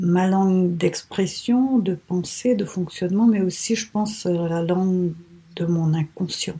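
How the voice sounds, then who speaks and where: The tone is dark and mellow, somewhat breathy, with ordinary pitch variation. The pace is very slow. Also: woman, medium pitch for a woman. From Mauritius. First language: Telugu (speaking French). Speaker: writer. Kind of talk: interview. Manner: halting, many hesitations.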